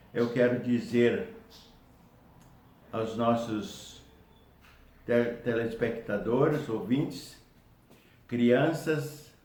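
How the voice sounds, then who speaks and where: A man speaks very slowly with a somewhat breathy voice. His pitch is medium, with fairly even intonation. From Brazil, Paraná (Foz do Iguaçu). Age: 80s+. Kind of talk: testimonial talk to camera.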